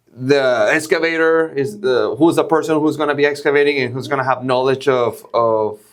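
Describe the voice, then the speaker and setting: The speaker is a man with a fairly high pitch. He talks at a fairly slow pace. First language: not English. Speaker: podcast host. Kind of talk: casual interview. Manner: halting.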